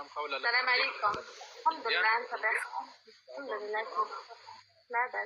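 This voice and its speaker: Over noticeable background noise, a woman talks at a fairly slow pace with long, frequent pauses. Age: 20s. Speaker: insurance worker, marriage candidate. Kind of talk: matchmaking conversation.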